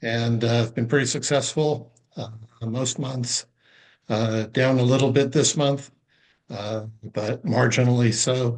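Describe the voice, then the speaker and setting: A man with a medium-pitched voice talks fairly slowly, leaving long, frequent pauses and keeping his intonation fairly even. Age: 60s. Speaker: retired trader. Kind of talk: casual chat.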